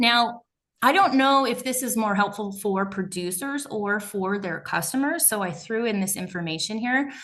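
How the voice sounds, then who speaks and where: There is audible room echo as a woman speaks at a moderate pace with lively intonation. Her voice is fairly high in pitch, with a bright, sharp tone. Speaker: meat processor. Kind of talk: presentation.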